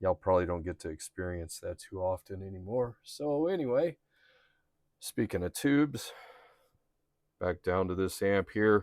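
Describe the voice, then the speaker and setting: In a very clean recording with a silent background and a dry, close sound with no echo, a man speaks at a moderate pace with ordinary pitch variation and long, frequent pauses. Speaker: amp repair youtuber and bass player. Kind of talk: casual tutorial vlog. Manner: loud.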